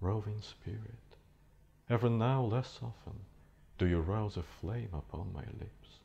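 In a dark, mellow, somewhat breathy tone, a man with a fairly low voice speaks very slowly, his pitch varying in an ordinary way. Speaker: actor. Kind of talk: poetry reading. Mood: wistful, reflective. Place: studio.

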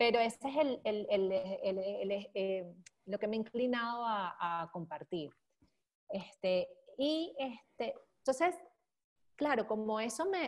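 Against a quiet background, the speaker goes at a very slow pace with long, frequent pauses and lively intonation. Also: woman, fairly high pitch for a woman. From Venezuela, Caracas. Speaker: bitcoin columnist; podcast guest. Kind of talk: casual interview chat. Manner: halting, many fillers. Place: home room. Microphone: earbuds.

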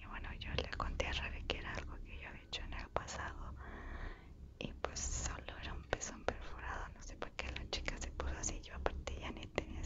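Over loud background noise, a soft-spoken woman whispers at a fairly quick pace. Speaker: ASMR creator. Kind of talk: soft-spoken storytime chat. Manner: soft close-mic whisper. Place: home room. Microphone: lapel.

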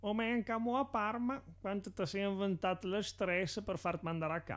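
With a Tuscan accent, a man speaks at a high pitch and a moderate pace. His loudness is very even, and his pitch varies in an ordinary way. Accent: Carrara dialect. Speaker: amateur comedy dubber. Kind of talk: parody commercial voiceover.

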